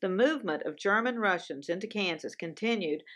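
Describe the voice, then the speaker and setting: With a Southern US accent, a woman speaks in lively intonation against a quiet background. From US South. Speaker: TV show co-host. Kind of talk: casual chat; scripted narration.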